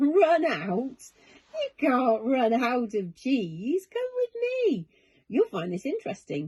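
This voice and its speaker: A woman uses a put-on character voice pitched high, speaking at a very slow pace. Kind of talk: bedtime story. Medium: read story. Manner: friendly, jolly.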